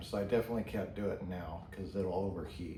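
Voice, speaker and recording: A man mumbles. The room echo is audible. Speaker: pipe tobacco reviewer. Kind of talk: casual product review vlog. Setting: garage. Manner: mumbling.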